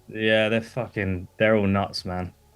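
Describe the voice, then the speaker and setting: A man speaks very slowly in an English accent. His intonation is monotone and flat. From eastern England, Lowestoft. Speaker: gymnastics club owner, livestream guest. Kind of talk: casual chat. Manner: hesitant, many fillers.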